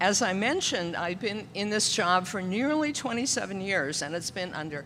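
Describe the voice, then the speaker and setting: Audible room echo surrounds a woman with a bright, sharp tone who speaks at a moderate pace with ordinary pitch variation. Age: 70s. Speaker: church pianist. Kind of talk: children's story time and announcement in church service. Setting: church.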